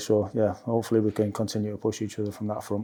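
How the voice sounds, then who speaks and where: A man talks at a very fast pace with a North East England accent. His tone is dark and mellow. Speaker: football assistant coach. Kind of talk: press interview. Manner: level, calm; hesitant, many fillers.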